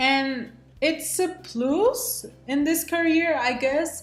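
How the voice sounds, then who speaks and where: With music behind her, a woman talks amid audible room echo. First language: Spanish. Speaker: student pilot. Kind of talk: vlog self-introduction. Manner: casual, with frequent fillers.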